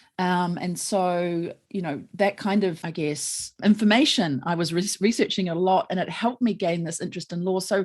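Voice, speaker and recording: A woman speaks with a New Zealand accent, leaving hardly any pauses. The background is quiet. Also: medium pitch for a woman, ordinary pitch variation, moderate pace. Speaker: lawyer. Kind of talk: interview conversation.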